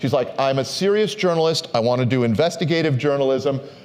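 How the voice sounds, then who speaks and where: The speaker has an American accent and lively intonation. Room echo is audible. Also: man. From Minnesota. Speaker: history professor giving a book talk. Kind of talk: lecture.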